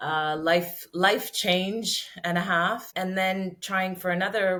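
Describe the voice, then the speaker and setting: A woman speaks with a Canadian accent in a bright, sharp tone at a fairly low pitch. Her intonation is monotone and flat. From Canada. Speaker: podcast guest, mother. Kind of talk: interview, personal story. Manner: hesitant, many fillers and repeats.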